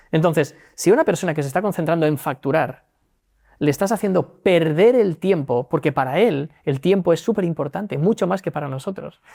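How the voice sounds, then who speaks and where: On a very clean recording with a silent background, dry and close with no echo, a man with a high pitch and dark, mellow tone speaks at a fairly quick pace with ordinary pitch variation. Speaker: legal tech executive. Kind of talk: interview. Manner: fast.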